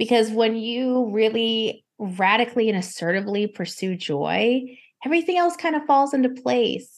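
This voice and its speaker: A woman talks at a moderate pace against a quiet background. Her fairly high voice moves with lively intonation. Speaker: burnout specialist. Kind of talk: casual chat.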